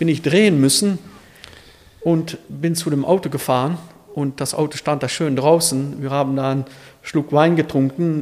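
At a moderate pace, a man with a Dutch Limburg accent and a fairly high pitch keeps his intonation fairly even. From Netherlands, Limburg border region. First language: Dutch (speaking German). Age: 50s. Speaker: classic car dealer. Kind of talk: casual interview.

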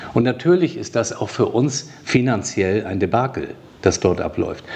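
Noticeable background noise sits behind a man who speaks at a fairly slow pace. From northern Germany (Flensburg). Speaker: hospital director and physician. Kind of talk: interview.

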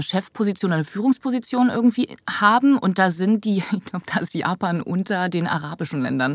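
With an unremarkable speaking voice, a woman talks at a fairly quick pace, a medium pitch and ordinary pitch variation. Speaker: voice actress. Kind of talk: casual chat. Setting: studio.

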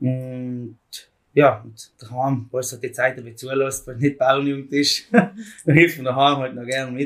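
With a plain, everyday voice, a man talks at a medium pitch using fairly even intonation. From South Tyrol, Italy. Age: 20s. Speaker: farm youth organisation leader. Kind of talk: casual interview.

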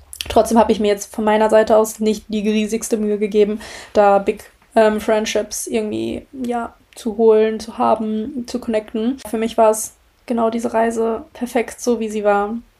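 Her voice fairly high in pitch, a woman speaks with a dark, mellow tone. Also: moderate pace. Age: 20s. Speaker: podcast host. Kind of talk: casual monologue. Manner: animated.

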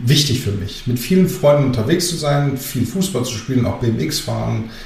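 A man speaks moderately fast, his voice carrying audible room echo amid noticeable background noise. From Germany, Greek family. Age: 40s. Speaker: construction company managing director. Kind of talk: interview.

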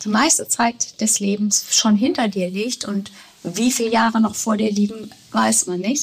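A woman speaks at a fairly slow pace with a fairly high pitch and fairly even intonation over noticeable background noise. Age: 60s. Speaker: yoga teacher. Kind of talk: interview. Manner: hesitant with many fillers.

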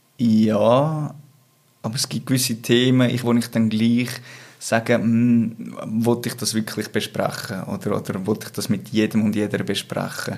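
A man speaks at a medium pitch. His intonation stays fairly even. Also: fairly slow pace. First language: Swiss German (speaking German). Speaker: interview guest. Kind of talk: personal interview conversation. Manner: halting, many repetitions.

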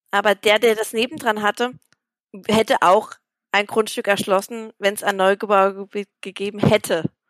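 The recording is very clean with a silent background and a dry, close sound with no echo, carrying a woman's fairly high-pitched, a plain, everyday voice. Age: 30s. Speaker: primary school teacher. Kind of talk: interview.

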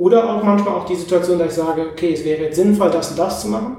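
Amid audible room echo, a man with a fairly high pitch rushes along at a very fast pace with ordinary pitch variation. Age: 30s. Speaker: psychologist and podcaster. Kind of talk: interview conversation. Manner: hesitant fillers.

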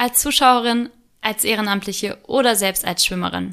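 A plain, everyday voice from a woman, fairly high and moderately paced, fairly even in intonation, on a very clean recording with a silent background. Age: 20s. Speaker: podcast co-host, volunteer youth sports board member. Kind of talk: scripted podcast intro. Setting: studio, sitting beside co-host.

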